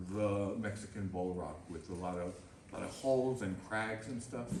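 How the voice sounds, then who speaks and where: Over noticeable background noise and audible room echo, a man speaks fairly slowly with lively intonation. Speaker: bonsai artist giving a demonstration. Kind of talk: live demonstration to a club audience. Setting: club meeting room with audience.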